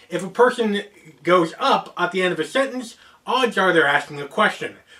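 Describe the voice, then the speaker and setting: With an American accent, a man speaks in a raised, projected voice at a high pitch and a moderate pace over noticeable background noise. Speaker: geek culture YouTuber. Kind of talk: explainer video monologue.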